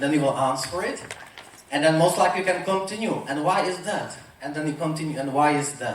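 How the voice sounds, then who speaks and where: In a Czech accent, a man with a fairly high pitch and ordinary pitch variation speaks against noticeable background noise and audible room echo. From Czech Republic. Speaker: motivational speaker. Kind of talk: motivational talk.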